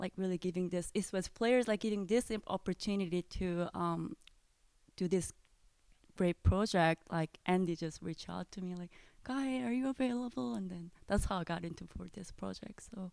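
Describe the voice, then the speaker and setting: A woman with a non-native accent speaks with ordinary pitch variation in a very clean recording with a silent background. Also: medium pitch for a woman, moderate pace, dry, close sound with no echo. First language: not English. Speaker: recording engineer. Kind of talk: interview. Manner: halting, many fillers.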